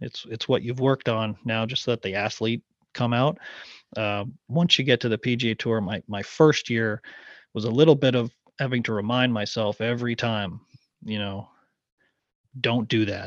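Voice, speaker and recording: A man's medium-pitched voice at a moderate pace, fairly even in intonation, with long, frequent pauses, a quiet background and a dry, close sound with no echo. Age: 40s. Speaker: former professional golfer. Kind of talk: casual chat.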